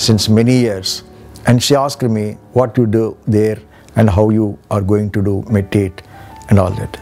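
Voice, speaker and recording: Music plays in the background as a man speaks. His pace is moderate, with ordinary pitch variation. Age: old. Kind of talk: interview answer.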